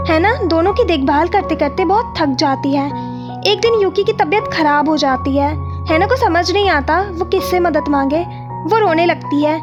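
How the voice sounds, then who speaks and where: Music plays in the background as a woman speaks at an extremely high pitch. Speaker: YouTube story narrator. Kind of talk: animated movie recap narration.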